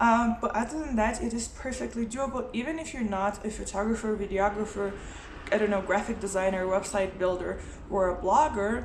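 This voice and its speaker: A woman's voice at medium pitch and a fairly quick pace, with ordinary pitch variation, audible room echo and noticeable background noise. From Lithuania. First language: Lithuanian. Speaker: motorcycle travel vlogger and writer. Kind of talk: casual vlog talk. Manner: hesitant, many fillers.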